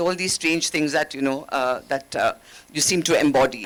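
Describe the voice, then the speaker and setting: A woman speaks with a Keralan accent. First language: Malayalam. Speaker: former ambassador, diplomat. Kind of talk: panel discussion.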